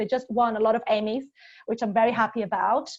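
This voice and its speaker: Fairly high pitch from a woman with a Portuguese accent. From Brazil. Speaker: corporate speaker on LinkedIn and careers. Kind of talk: presentation talk. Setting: online webinar session.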